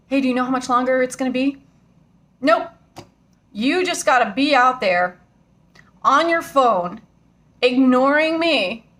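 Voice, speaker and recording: A woman's loud shouting at a high pitch, fairly slow, with ordinary pitch variation. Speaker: vlogger. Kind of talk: angry rant to camera. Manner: loud, yelling; emotional.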